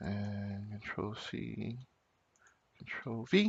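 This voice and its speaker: A man mumbles in a put-on character voice. His pitch sits fairly low. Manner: mumbling.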